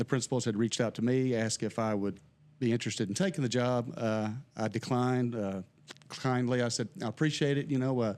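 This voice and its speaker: A man with an American accent talks at a very fast pace and medium pitch. His pitch variation is ordinary, and his loudness stays very even. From southeast Missouri. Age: old. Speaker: criminal justice instructor. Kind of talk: casual interview chat.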